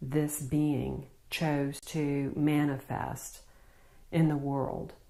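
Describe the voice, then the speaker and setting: Very slow and very deep, low in pitch, a woman speaks in a Southern US accent with audible room echo. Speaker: spiritual healer. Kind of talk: spiritual talk to camera.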